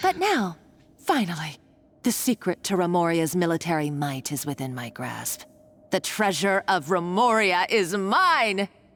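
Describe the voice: Putting on a character voice, a woman speaks at a fairly slow pace with a fairly low pitch, a fairly bright tone and big pitch swings.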